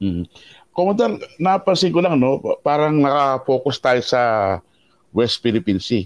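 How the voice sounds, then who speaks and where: A man's fairly high voice at a moderate pace, with very wide pitch swings, very even loudness, long, frequent pauses and a dry, close sound with no echo. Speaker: columnist, co-host. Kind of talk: interview.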